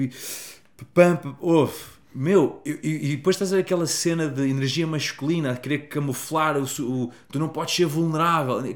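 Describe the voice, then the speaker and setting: This man has a normal speaking voice, fairly high in pitch for a man. His intonation is fairly even and his pace fairly quick. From Portugal. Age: 30s. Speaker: happiness coach. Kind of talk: casual chat.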